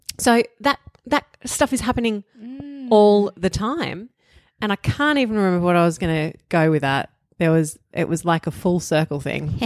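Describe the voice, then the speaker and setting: With a strong Australian accent, a woman speaks at a moderate pace with very wide pitch swings, on a very clean recording with a silent background and a dry, close sound with no echo. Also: medium pitch for a woman. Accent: broad Australian. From Australia, outer eastern suburbs of Melbourne. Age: 40s. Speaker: author and podcast guest. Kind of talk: casual chat.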